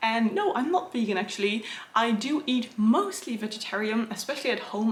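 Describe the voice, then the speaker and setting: With lively intonation and a fairly high pitch, a woman talks at a fairly quick pace against noticeable background noise. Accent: English. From Netherlands. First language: Dutch. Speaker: illustrator and book content creator. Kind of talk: Q&A video, casual chat.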